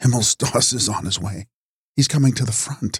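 Using a put-on character voice, a man speaks at medium pitch and a moderate pace, with a dry, close sound and no echo. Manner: excited, beaming.

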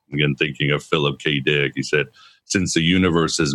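A man speaks with vocal fry in a monotone, flat intonation. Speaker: podcast host. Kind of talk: interview. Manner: eloquent, articulate.

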